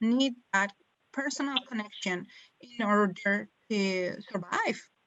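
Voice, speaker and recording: A woman with a strong non-native accent speaks in a fairly high pitch. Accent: strong foreign. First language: not English. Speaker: webinar presenter on self care. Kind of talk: webinar presentation. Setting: online webinar.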